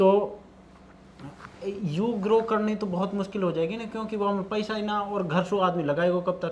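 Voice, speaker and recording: A man's high-pitched voice moves at a moderate pace, his intonation fairly even, with noticeable background noise present. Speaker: podcast host. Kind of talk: casual interview talk.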